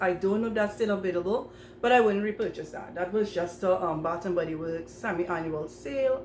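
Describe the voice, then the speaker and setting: At a fairly quick pace, the speaker uses ordinary pitch variation, with audible room echo around the voice. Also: woman. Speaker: perfume YouTuber. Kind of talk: casual collection review to camera. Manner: fast; hesitant, many fillers.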